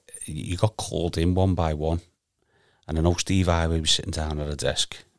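A man speaks with a Liverpool accent in a very deep, low voice and a flat, monotone delivery. The recording is very clean, with a silent background. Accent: Liverpool (Scouse). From Liverpool, Garston. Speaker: amateur footballer. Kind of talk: casual chat.

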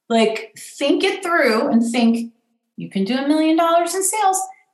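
The voice moves in very wide pitch swings at a fairly slow pace, in an American accent. Room echo is audible. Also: woman. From US West Coast, Pasadena, California. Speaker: event planner and author. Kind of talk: interview.

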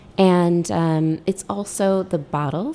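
In an American accent, a woman speaks with a dark, mellow tone. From US Midwest, Oshkosh, Wisconsin. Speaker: cookbook author and drinks writer. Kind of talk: interview. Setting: studio.

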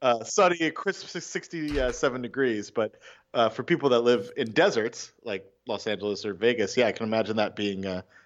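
At a fairly quick pace, a man talks in a medium pitch with lively intonation. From California. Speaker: hockey fan and podcast correspondent. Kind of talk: casual chat. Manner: animated.

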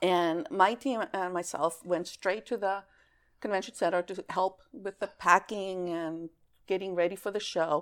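A woman with a plain, everyday voice, medium pitch and ordinary pitch variation, at a fairly slow pace, on a very clean recording with a silent background. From Greece (raised there ages 3 to 14, born in California). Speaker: former games company sales employee. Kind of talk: casual interview chat.

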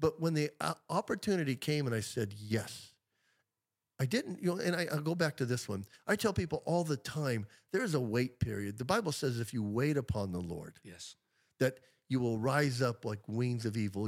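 A man with an unremarkable speaking voice, medium pitch and lively intonation, on a very clean recording with a silent background. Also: moderate pace. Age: 60s. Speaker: pastor. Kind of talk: casual chat.

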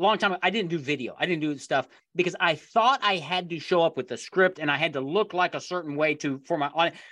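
The speech comes at a very fast pace with hardly any pauses. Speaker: podcast host. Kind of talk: casual interview.

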